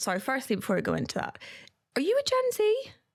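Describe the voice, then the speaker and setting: A woman talks with a Northern Irish accent. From Northern Ireland. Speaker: podcast host and company CEO. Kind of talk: casual podcast chat.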